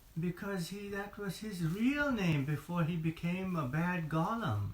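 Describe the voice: Speaking slowly in a low pitch, a woman has a slightly mellow tone, and audible room echo surrounds her voice.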